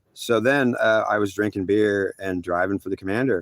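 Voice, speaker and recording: Here is a man with an ordinary speaking voice at a fairly low pitch. He keeps a moderate pace and fairly even intonation, the sound dry and close with no echo. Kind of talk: spiritual story told to camera. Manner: rambling, emotional.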